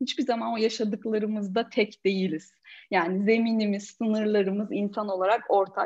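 A woman speaks at a fairly high pitch and a moderate pace. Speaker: coach and corporate trainer. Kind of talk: casual interview. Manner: animated.

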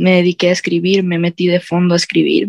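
The sound is dry and close with no echo as a woman speaks at a fairly low pitch. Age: 20s. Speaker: university student and singer-songwriter. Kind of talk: casual interview.

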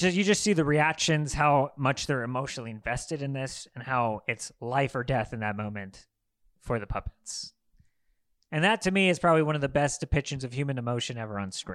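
An unremarkable speaking voice from a man with an American accent, fairly high pitch, lively intonation and a fairly quick pace, on a very clean recording with a silent background. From Los Angeles, US. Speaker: film podcast co-host. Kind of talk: casual chat.

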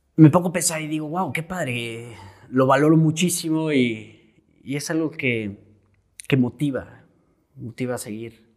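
A man with a central Mexican accent and a fairly high pitch talks at a fairly slow pace, with long, frequent pauses and big swings in loudness. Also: ordinary pitch variation. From Mexico, Querétaro. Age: 20s. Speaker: painter. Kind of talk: casual interview.

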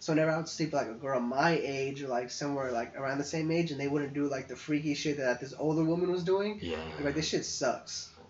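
Hardly any pauses at a very fast pace, with noticeable background noise. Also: man, fairly high pitch for a man, ordinary pitch variation. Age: 20s. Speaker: podcast co-host. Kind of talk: casual chat.

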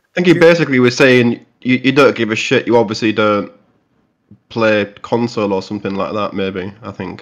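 A man with an English accent, medium pitch, ordinary pitch variation, a moderate pace and big swings in loudness. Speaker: podcast co-host. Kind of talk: casual chat.

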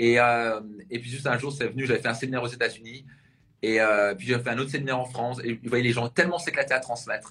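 This man talks at a very fast pace in a medium pitch, his bright, sharp tone held to fairly even intonation. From Alsace, near Strasbourg. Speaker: personal development coach. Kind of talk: interview. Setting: live video interview.

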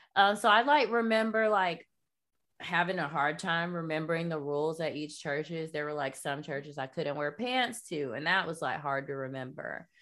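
With a plain, everyday voice, a woman at a fairly low pitch uses lively intonation in a very clean recording with a silent background. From US South, North Florida (Jacksonville). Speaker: artist, activist and podcast host. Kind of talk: casual interview, personal testimony. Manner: casual, many fillers (like, um).

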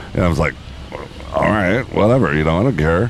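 Noticeable noise fills the background. A man's voice comes through it. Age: 50s. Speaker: podcast host. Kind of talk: casual chat. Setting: outdoors on a beach.

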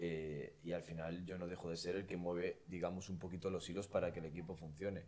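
Speaking at a fairly quick pace with hardly any pauses, a man uses a very deep, low pitch, a dark, mellow tone and monotone, flat intonation. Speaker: podcast host. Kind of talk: casual chat.

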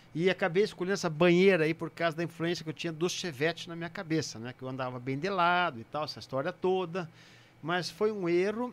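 A man has a plain, everyday voice, fairly high in pitch with ordinary pitch variation, and speaks at a fairly quick pace. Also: very clean recording, silent background. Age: 50s. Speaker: retired racing driver. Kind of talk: casual chat.

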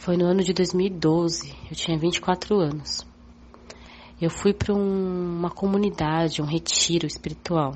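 A woman with a fairly low voice speaks at a fairly slow pace, her intonation flat and monotone and her loudness very even. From São Paulo, Brazil. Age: 30s. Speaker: witness recounting UFO sighting. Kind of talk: testimony. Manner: hesitant, repeats words.

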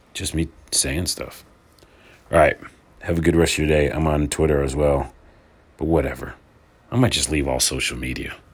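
Pausing long and often, a man speaks at a moderate pace with a very deep, low pitch. There is vocal fry in his voice, and his pitch varies in an ordinary way. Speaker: podcaster. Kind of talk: casual monologue. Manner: rambling.

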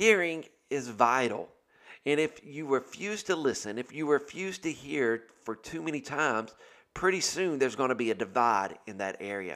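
In a very clean recording with a silent background, a man speaks loudly at a moderate pace, his bright, sharp tone sitting at medium pitch with very wide pitch swings. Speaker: pastor. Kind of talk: podcast devotional talk. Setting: recording at home in kitchen.

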